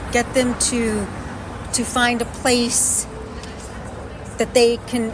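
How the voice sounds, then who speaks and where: A woman's fairly high voice at a very slow pace, with noticeable background noise. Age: 60s. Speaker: podcast host. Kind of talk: interview. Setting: in person, New York City.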